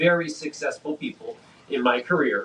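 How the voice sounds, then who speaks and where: Over noticeable background noise, a man talks with pitch that varies in an ordinary way. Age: 60s. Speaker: closet industry business consultant. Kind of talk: casual chat. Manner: animated.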